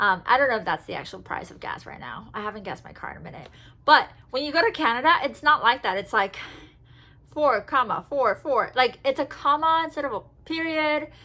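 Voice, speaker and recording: A woman's high, raised and projected voice, animated in tone, with lively intonation, a fairly quick pace and big swings in loudness. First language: Spanish. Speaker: travel and Disney vlogger. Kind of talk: casual haul video talk. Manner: chatty, animated.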